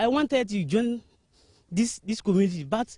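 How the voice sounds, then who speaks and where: The sound is dry and close, with no echo. A man speaks at a moderate pace with lively intonation. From Burkina Faso. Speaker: convert giving testimony. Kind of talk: testimony. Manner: halting, repeating words.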